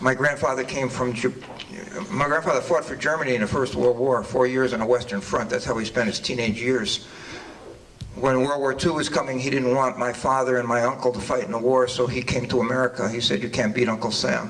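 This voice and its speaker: There is noticeable background noise as a man talks at a fairly quick pace. His pitch is medium and his intonation fairly even. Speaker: political candidate. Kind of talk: candidate forum opening statement. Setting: public forum with audience. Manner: halting.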